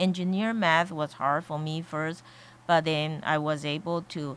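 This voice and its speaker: A woman speaks at a very slow pace with a non-native accent. Her pitch is very deep and low. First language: Chinese. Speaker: college board of trustees member. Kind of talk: radio interview. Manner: halting, many fillers.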